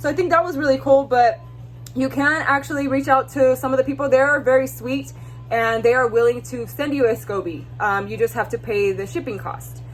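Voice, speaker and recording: A woman with an American accent at a fairly quick pace, music in the background. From US West, California Central Valley. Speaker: lifestyle vlogger. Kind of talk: casual vlog talk.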